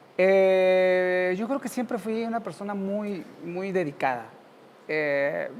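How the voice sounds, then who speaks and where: Delivered at a very slow pace, a man's high-pitched voice has lively intonation. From central Mexico (Cuautla, Morelos), then Mexico City. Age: 50s. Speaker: university professor. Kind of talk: interview.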